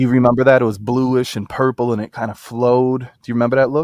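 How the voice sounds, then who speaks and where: A man speaks at a medium pitch in a dry, close sound with no echo, on a very clean recording with a silent background. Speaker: livestream host. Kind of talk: casual chat. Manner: loud; animated.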